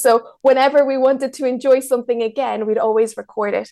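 A woman talks at a very fast pace. Her intonation is fairly even. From Mexico, raised in Ireland from age seven. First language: Spanish. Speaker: travel filmmaker and YouTuber. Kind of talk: casual interview chat. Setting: remote call.

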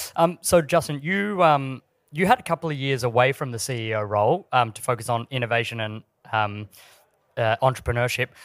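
This man talks at a fairly quick clip with an Australian accent and lively intonation. His pitch is medium, and the very clean recording has a dry, close sound with no echo over a silent background. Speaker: podcast interviewer. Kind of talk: live interview on stage. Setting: stage with audience. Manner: halting with many fillers.

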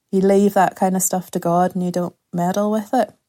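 A woman with a Northern Irish accent speaks at a medium pitch in a dark, mellow tone with monotone, flat intonation, in a very clean recording with a silent background and a dry, close sound with no echo. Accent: Northern Irish (Ulster). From Northern Ireland, rural County Antrim. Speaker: novelist and community arts facilitator. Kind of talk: podcast interview.

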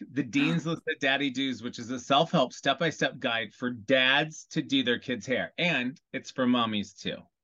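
At a fairly slow pace, a man with an American accent and an unremarkable speaking voice talks with ordinary pitch variation. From US Midwest, Iowa. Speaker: celebrity hairstylist. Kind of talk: casual chat.

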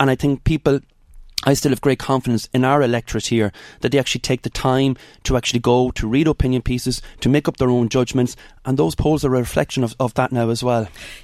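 A man with an Irish accent speaks at a very fast pace with very even loudness and fairly even intonation, in a very clean recording with a silent background and a dry, close sound with no echo. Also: medium pitch for a man. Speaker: politician. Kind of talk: radio interview.

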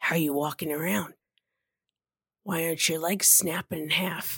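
A woman puts on a raspy character voice at a fairly low pitch and moderate pace, with ordinary pitch variation and a dry, close sound with no echo. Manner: pushy, intense, paranoid.

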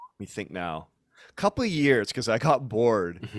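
A man's voice at a fairly low pitch. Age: 40s. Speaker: life coach and personal trainer. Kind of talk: casual interview conversation.

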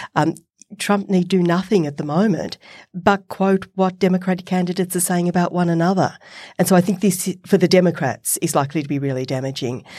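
A woman with an Australian accent, fairly low in pitch, dark and mellow in tone, at a fairly quick pace with ordinary pitch variation, on a very clean recording with a silent background. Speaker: professor and podcast co-host. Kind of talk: casual chat and interview. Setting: studio.

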